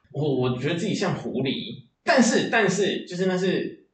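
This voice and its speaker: A man talks at a high pitch with very wide pitch swings. Room echo is audible. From Taiwan, Chiayi. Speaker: writer and creator. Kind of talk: interview conversation.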